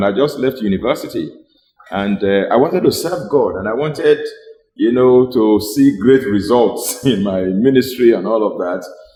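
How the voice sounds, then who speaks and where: A man's ordinary speaking voice at medium pitch, with lively intonation and a moderate pace. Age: 60s. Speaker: pastor and nutritionist, show host. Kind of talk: health talk show conversation.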